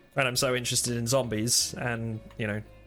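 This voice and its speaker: A man talks fairly quickly while music sounds in the background. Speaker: YouTube interviewer. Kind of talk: casual interview host talk.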